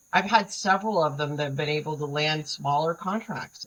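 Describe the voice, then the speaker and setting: A woman talks at a fairly quick pace in a somewhat breathy voice with ordinary pitch variation. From New England. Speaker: government contracting advisor. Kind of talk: interview. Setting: livestream.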